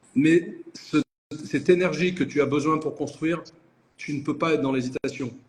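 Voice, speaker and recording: A man's fairly high pitch, fairly even intonation and moderate pace. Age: 60s. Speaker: entrepreneur. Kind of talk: interview. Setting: live video call.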